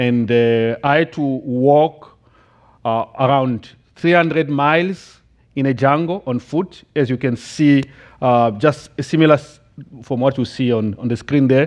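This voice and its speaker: A man with a Central African accent speaks at a fairly high pitch, with ordinary pitch variation. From Democratic Republic of the Congo. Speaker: missionary giving testimony. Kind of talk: testimony. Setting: church, in front of congregation. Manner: halting, many fillers.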